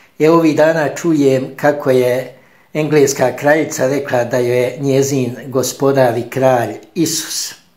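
A man's medium-pitched voice at a fairly slow pace, with fairly even intonation over a quiet background. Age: 50s. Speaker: Franciscan friar; speaker. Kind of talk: spoken homily. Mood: calm, warm, reflective. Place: home room. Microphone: phone near.

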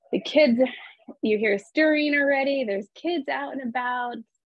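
A woman's warm tone and ordinary pitch variation come through as a dry sound with no echo over a quiet background. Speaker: real estate agent and coach; presenter, real estate coach. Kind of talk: calm guided visualization, eyes-closed breathing exercise led over video call. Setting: video call. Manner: warm, chatty, encouraging. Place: home room. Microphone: webcam.

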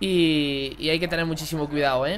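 An animated man with an Andalusian accent. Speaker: gaming YouTuber. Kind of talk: gameplay commentary. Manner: casual.

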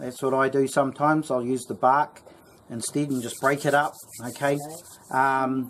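Speaking at a moderate pace, the man keeps his intonation fairly even. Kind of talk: tutorial. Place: garden. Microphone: phone near.

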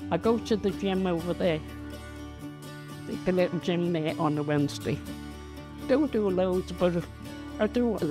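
Clear music plays behind a woman with a Liverpool accent whose fairly low voice swings very widely in pitch at a moderate pace. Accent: Liverpool (Scouse). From Liverpool, England. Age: 80s+. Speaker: long-time resident of social housing, pensioner. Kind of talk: interview answer, chatty personal reminiscence. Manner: chatty, warm, animated. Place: home room. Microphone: lapel.

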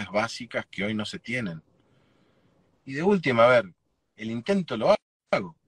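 A man's lively intonation at a moderate pace, dry and echo-free, over a quiet background. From Argentina, Chaco province. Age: 40s. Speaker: political candidate; candidate. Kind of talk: interview. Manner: halting, repeats words. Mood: earnest, concerned. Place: car. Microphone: video call.

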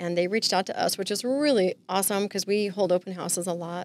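A woman with an American accent, in a dry recording with no echo. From Southern California. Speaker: real estate agent. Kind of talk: casual interview chat. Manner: joking, playful. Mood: friendly, upbeat. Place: studio. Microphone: studio mic.

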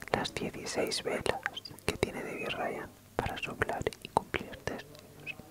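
Very slowly, a woman speaks in a whisper. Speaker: ASMR creator. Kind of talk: ASMR trigger-words video, whispered. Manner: soft, whispered, relaxing. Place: home room. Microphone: studio mic.

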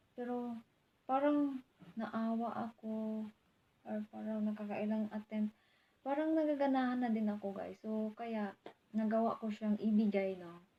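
Somewhat breathy, a woman talks at a fairly slow pace with a fairly high pitch. Her tone is dark and mellow, her intonation fairly even. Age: 20s. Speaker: vlogger. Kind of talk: casual vlog monologue.

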